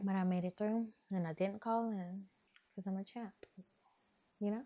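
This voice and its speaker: A woman's medium-pitched voice, dark and mellow in tone, with a slight New Orleans accent, at a moderate pace. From Texas. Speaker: podcast host. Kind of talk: casual chat. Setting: home, bedroom. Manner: animated.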